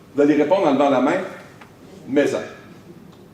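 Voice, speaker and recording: A man with a Quebec accent, an animated tone and very wide pitch swings, amid noticeable background noise and audible room echo. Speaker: motivational speaker. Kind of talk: motivational conference talk. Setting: stage with audience. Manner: trying to speak slowly.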